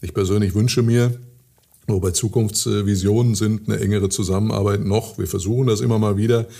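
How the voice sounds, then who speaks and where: A man speaks at a fairly quick pace with fairly low pitch and ordinary pitch variation. His tone is dark and mellow, and somewhat breathy. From Ruhr area, Germany (Hattingen), teen years in Switzerland. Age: 60s. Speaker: mayor. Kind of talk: interview.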